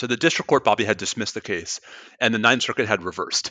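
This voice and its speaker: Against a quiet background, a bright, sharp tone moves at a very fast pace in a dry, close sound with no echo. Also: man. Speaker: law professor and podcast co-host. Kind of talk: casual expert discussion. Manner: many pauses and fillers.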